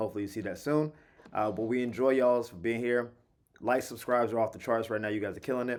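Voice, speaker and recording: Speech rushes along at a very fast pace. The intonation stays fairly even. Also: man, medium pitch for a man. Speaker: sports podcast host. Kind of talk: casual sports commentary.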